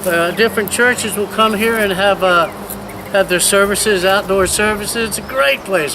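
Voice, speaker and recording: A man's high-pitched, raised and projected voice with an American accent, ordinary pitch variation and a moderate pace, over noticeable background noise. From Virginia, US. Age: 60s. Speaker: missionary. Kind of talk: video tour and personal testimony. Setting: outdoors.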